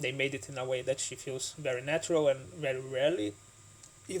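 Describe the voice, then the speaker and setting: Here a man's voice is somewhat breathy. His intonation stays fairly even. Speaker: board game YouTuber. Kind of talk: solo video commentary. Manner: halting.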